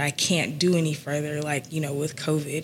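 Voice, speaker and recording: A woman with an American accent and a very deep, low pitch, moderate in pace and monotone, flat in intonation, with noticeable background noise. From US South, Atlanta. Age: 30s. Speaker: entrepreneur in the music industry. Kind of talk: casual interview. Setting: live recording.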